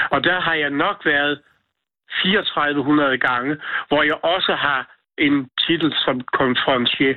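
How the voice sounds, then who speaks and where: At a very slow pace, a man speaks with fairly even intonation and very even loudness, leaving long, frequent pauses. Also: fairly high pitch for a man. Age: 70s. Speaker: singing hairdresser. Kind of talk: casual chat. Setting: phone call.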